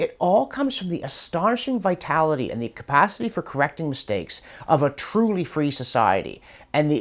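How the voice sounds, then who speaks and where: The speech moves at a fairly quick pace. The recording is very clean, with a silent background. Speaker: professor answering viewer questions. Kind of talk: casual commentary Q&A. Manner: fast.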